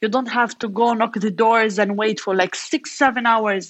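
Speaking with an Arabic accent, a woman uses fairly even intonation at a fairly high pitch. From Gaza, Palestine. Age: 30s. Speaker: entrepreneur and engineer. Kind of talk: interview.

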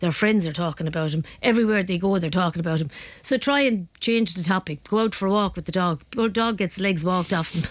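A woman with an Irish accent at a medium pitch, very fast and with hardly any pauses, her pitch varying in an ordinary way. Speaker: psychotherapist. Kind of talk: radio interview. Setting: studio.

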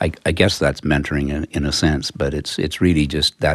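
With a Western Canadian accent, a man with a very deep, low voice speaks at a moderate pace. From Calgary, Canada. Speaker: accountant. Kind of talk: interview. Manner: halting.

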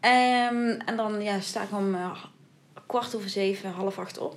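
A woman with a southern Dutch accent at a fairly slow pace, with audible room echo. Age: young. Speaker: podcast co-host. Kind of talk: casual chat.

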